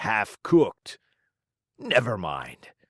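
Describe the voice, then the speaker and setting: In a raspy, put-on character voice, a man speaks at a fairly slow pace on a very clean recording with a silent background. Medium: read story.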